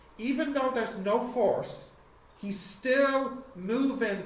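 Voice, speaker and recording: In an Irish accent, the speaker goes at a very slow pace over noticeable background noise. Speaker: physics teacher. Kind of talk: lecture.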